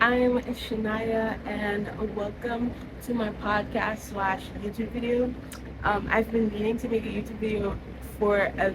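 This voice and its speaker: A woman's fairly high-pitched, monotone, flat delivery at a fairly slow pace, with audible room echo and noticeable background noise. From Trinidad and Tobago. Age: 20s. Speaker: content creator. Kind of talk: casual monologue.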